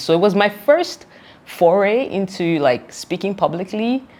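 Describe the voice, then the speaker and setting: A woman is speaking. Her intonation is lively. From Nigeria. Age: 30s. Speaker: entrepreneur. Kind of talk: interview.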